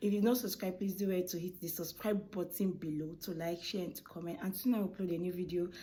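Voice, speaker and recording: A soft-spoken woman with a Nigerian accent, somewhat breathy, with a dark, mellow tone. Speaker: food vlogger and baker. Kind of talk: casual vlog talk to camera. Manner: soft-spoken, kept low.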